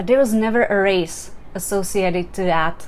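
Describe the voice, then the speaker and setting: A woman with a Czech accent speaks with fairly even intonation. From Czech Republic. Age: 40s. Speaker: life coach. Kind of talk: motivational talk. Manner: casual, conversational.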